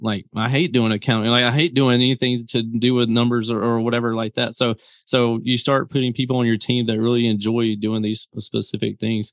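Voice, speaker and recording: Speaking fairly quickly with hardly any pauses, a man with a Southern US accent holds a medium pitch in a monotone, flat intonation. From Mississippi, US South. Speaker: business founder and YouTuber. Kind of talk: interview. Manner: casual, laughs often.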